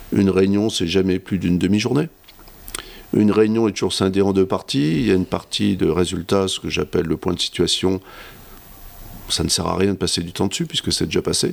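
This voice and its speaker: A man with a very deep, low voice and ordinary pitch variation speaks at a fairly quick pace, broken by long, frequent pauses. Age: 50s. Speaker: company director. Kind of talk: interview. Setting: his office.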